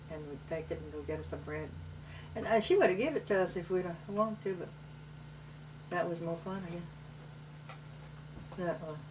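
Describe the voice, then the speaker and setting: In a Cajun accent, a woman speaks at a moderate pace with big swings in loudness and long, frequent pauses, amid audible room echo and noticeable background noise. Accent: Cajun Louisiana English. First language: Cajun French. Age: 70s. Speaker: grandmother telling family memories. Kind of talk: family oral history interview.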